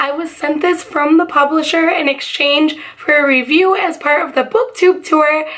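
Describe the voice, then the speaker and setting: Extremely high in pitch, a woman speaks at a moderate pace with ordinary pitch variation and hardly any pauses. Noticeable background noise is present. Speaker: book reviewer. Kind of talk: casual talk to camera.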